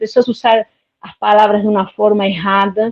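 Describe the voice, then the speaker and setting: A woman with a Spanish accent, fairly high in pitch, at a moderate pace. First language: Spanish (speaking Portuguese). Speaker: live stream participant. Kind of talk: casual chat. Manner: halting.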